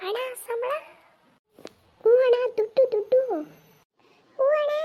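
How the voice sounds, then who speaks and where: An extremely high-pitched, cartoonish character voice. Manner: eager, deferential.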